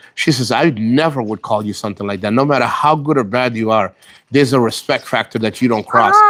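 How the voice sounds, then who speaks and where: A very fast-talking man at a medium pitch, with ordinary pitch variation. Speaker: vlogger, military veteran living abroad. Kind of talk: casual livestream chat. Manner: sounds stressed, intense.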